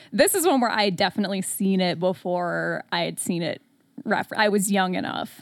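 In a very clean recording with a silent background, a woman with an American accent talks at a fairly quick pace. Her medium pitch has vocal fry and ordinary pitch variation. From US Midwest, Metro Detroit, Michigan. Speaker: horror podcaster. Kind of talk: casual chat.

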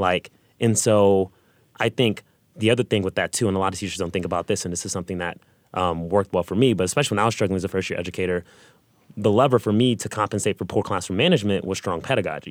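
A man's fairly low pitch, ordinary pitch variation and very fast pace, in a very clean recording with a silent background and a dry, close sound with no echo. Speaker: high school math and computer science teacher. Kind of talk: panel discussion.

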